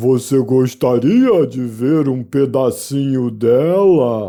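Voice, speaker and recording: A very slow put-on character voice from a man, pitched in the middle range. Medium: read story. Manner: mournful, sighing.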